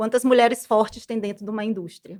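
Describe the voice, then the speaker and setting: A woman with a Maranhão accent on a very clean recording with a silent background. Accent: Maranhão accent, noticeable. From Brazil, Maranhão (São Luís). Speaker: business management professional. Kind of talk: podcast interview.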